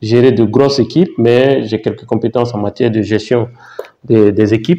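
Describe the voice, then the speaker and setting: A dark, mellow voice moves at a moderate pace with fairly even intonation. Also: man. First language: Baoulé (speaking French). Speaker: YouTuber, mining geologist. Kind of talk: vlog, thinking aloud. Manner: halting, many fillers and repetitions.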